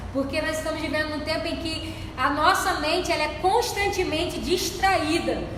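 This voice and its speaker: A woman's voice carries audible room echo and noticeable background noise. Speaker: church deaconess, Bible study teacher. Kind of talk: Bible study lesson.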